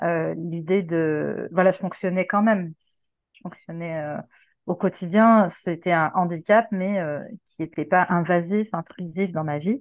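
At a very slow pace, a woman talks with a fairly low pitch. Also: fairly even intonation, quiet background. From Quebec. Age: 40s. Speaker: sex worker. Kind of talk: interview. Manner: hesitant, many fillers.

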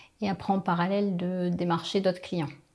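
This woman's medium-pitched voice stays monotone, with flat intonation. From Picardy, northern France. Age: 40s. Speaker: business owner, training company founder. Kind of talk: interview. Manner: hesitant, many fillers.

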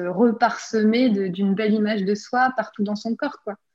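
A woman at a fairly slow pace, somewhat breathy. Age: 30s. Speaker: artist and decorator sharing her healing story. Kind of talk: testimony. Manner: halting, many repetitions and fillers.

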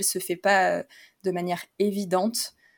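This woman talks at a very slow pace and medium pitch. Her intonation is monotone and flat. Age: 30s. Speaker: physiotherapist and yoga teacher. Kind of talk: casual interview. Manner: hesitant, many fillers.

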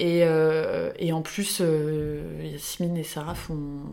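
Very slow speech with monotone, flat intonation and hardly any pauses, over noticeable background noise. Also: woman. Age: 20s. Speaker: ceramicist. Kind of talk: interview. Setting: workshop.

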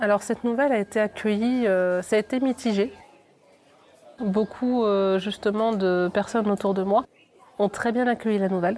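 At a moderate pace, a woman with a fairly high pitch and fairly even intonation speaks with long, frequent pauses. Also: very even loudness. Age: 20s. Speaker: aspiring adult trainer, former customer advisor. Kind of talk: interview. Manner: halting, many repetitions and fillers.

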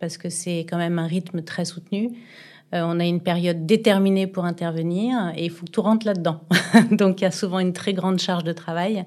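This woman talks at a moderate pace in a medium pitch, her intonation fairly even. The background is quiet. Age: 40s. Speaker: business owner, real estate agency. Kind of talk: interview. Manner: hesitant.

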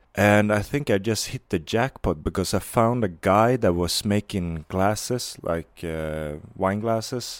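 In a very clean recording with a silent background, a man with a Swedish accent talks at a fairly slow pace with hardly any pauses, using a fairly low pitch and ordinary pitch variation. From Sweden (Varberg). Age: 20s. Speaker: skate filmer and documentary filmmaker. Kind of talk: casual interview.

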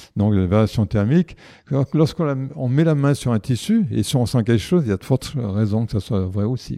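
A man at a medium pitch with a dark, mellow tone, lively intonation and a fairly quick pace, in a dry, close sound with no echo and a quiet background. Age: 70s. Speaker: osteopath. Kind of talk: interview. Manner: halting.

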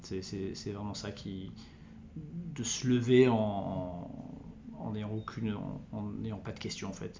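Amid noticeable background noise and audible room echo, a man of medium pitch speaks with fairly even intonation. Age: 40s. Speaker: entrepreneur. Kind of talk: interview. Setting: recorded on location at his venue. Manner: halting.

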